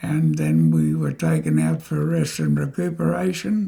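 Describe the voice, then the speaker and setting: The speaker is a man with an Australian accent. He talks fairly slowly. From Australia, North Queensland. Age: 90s. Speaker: war veteran. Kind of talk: interview. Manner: halting.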